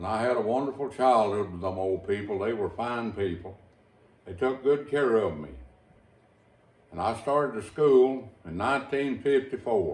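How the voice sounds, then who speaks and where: In an Appalachian accent, a man with a medium pitch speaks at a moderate pace, with ordinary pitch variation and big swings in loudness. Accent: Appalachian Kentucky rural. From Eastern Kentucky, Owsley County. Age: 70s. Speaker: storyteller reminiscing. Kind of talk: oral history interview.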